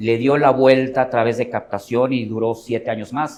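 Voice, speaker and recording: Speaking at a moderate pace with a Mexican accent, a man keeps a medium pitch and a monotone, flat intonation. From Mexico. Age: 40s. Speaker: professional trader. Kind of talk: interview.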